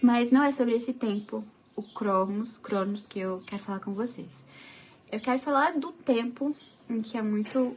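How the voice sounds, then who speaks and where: Soft-spoken and at a fairly slow pace, a woman with a fairly high pitch and ordinary pitch variation comes through over noticeable background noise. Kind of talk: casual devotional talk to camera.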